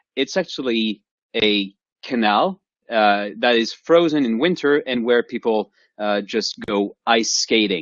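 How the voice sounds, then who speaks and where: A man speaks with a French accent at a fairly slow pace. His intonation is lively. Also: medium pitch for a man. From France. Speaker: professor. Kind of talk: lecture. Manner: halting.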